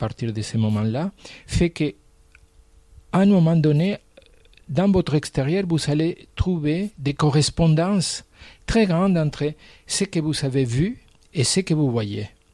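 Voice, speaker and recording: Speaking at a fairly slow pace, a man with a fairly high pitch has a dark, mellow, somewhat breathy tone and lively intonation. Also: long, frequent pauses, dry, close sound with no echo. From Argentina. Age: 60s. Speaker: painter. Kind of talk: interview.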